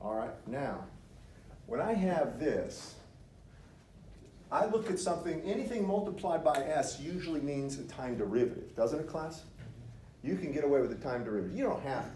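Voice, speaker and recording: A man's fairly high-pitched voice with vocal fry, a dark, mellow tone and very wide pitch swings, full of long, frequent pauses and audible room echo. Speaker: engineering professor. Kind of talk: lecture. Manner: fast; interactive, questioning the class.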